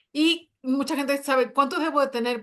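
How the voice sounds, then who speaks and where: A woman speaks with ordinary pitch variation. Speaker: personal finance show co-host. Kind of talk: live panel discussion. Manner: fast; animated.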